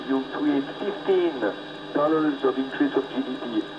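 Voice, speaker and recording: A man's moderate pace comes through against noticeable background noise. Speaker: pilot and balloonist. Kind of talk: interview answer. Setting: radio link from aircraft cockpit.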